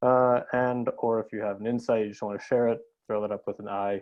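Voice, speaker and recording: The man talks at a fairly quick pace. His intonation stays monotone and flat. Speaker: webinar host. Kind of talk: live webinar introduction. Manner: fast.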